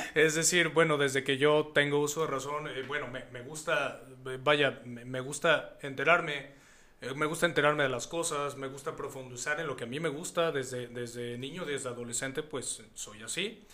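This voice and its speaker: There is noticeable background noise as a man speaks at a moderate pace. His pitch is fairly high, and his loudness swings widely. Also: fairly even intonation. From Mexico, Hidalgo. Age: 30s. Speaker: singer-songwriter. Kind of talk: interview.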